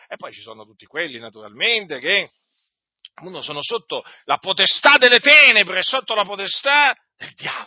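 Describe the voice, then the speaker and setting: This man's voice is high, with very wide pitch swings. His loudness shifts a lot, and he leaves long, frequent pauses. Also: moderate pace. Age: 50s. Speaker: preacher. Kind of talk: sermon.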